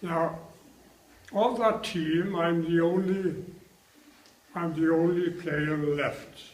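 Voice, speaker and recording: There is noticeable background noise as a man with a high pitch speaks at a very slow pace. His intonation is fairly even, with long, frequent pauses. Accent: Welsh. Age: 80s+. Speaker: retired international rugby player. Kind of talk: interview answer.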